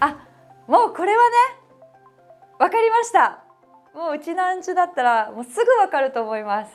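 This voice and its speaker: Over background music, a woman with an extremely high pitch and very wide pitch swings talks at a fairly quick pace while taking long, frequent pauses. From Okinawa. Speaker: studio commentator. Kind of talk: TV show presenting. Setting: studio.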